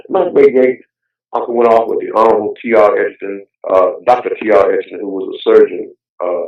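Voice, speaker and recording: At a fairly quick pace, a man talks with a Southern US accent. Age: 70s. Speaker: heritage activist. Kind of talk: interview. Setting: phone call. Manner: halting; animated.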